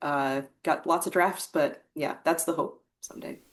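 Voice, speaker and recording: Speaking at a moderate pace, a woman with an American accent has a very deep, low pitch. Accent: American, noticeable to British hosts. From US Midwest. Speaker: guest, writer. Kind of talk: casual interview.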